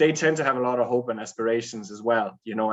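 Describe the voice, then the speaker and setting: Over a quiet background, a man speaks with a Danish accent at medium pitch and a fairly quick pace. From Denmark. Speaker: running coach. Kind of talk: webinar talk. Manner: talkative.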